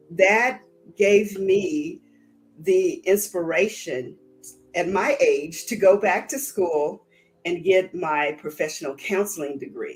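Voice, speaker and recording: Music plays in the background as a woman speaks at a very slow pace. Her medium-pitched voice has lively intonation. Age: 60s. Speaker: counselor. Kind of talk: podcast interview.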